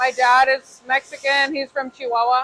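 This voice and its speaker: A woman projects a raised voice with a bright, sharp tone at high pitch and moderate pace. The sound is dry and close with no echo. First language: Spanish. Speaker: machinist and shop owner. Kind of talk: casual Q&A interview.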